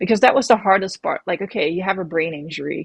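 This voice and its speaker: A woman with a Dutch accent talks very fast, somewhat breathy, against a quiet background. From Netherlands. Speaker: professional mountain biker. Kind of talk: interview. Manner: hesitant, with fillers.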